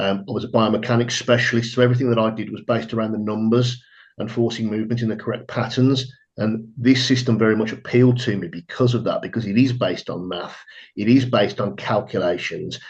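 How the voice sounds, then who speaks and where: Speaking at a very fast pace, a man with a medium pitch keeps his intonation fairly even. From England. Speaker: trading firm staff, former fitness business owner. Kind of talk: webinar self-introduction. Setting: online webinar.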